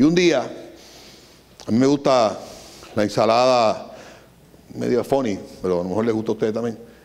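Animated in tone, a man with a Puerto Rican accent talks at a moderate pace with ordinary pitch variation. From Puerto Rico. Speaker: business owner; guest. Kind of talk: lecture. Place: hall. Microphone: handheld.

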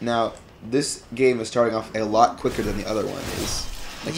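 A man talks at a moderate pace in a medium-pitched, monotone voice with flat intonation. Background noise is noticeable. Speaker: co-host of gaming video. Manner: casual, joking.

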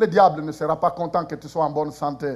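Here a man talks at a fairly slow pace. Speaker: preacher. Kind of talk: sermon. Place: church.

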